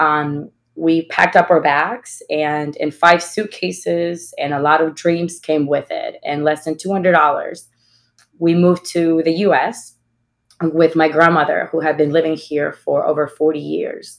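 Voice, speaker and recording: In a Spanish accent, a woman speaks fairly slowly in a fairly low voice with monotone, flat intonation. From Ecuador. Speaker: executive. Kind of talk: panel discussion. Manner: halting.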